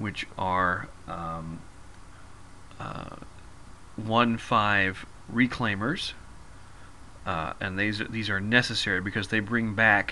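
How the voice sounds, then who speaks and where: A man's fairly low voice at a very slow pace, with fairly even intonation and long, frequent pauses. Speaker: gaming video creator. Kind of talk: gameplay tutorial. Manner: halting, many fillers.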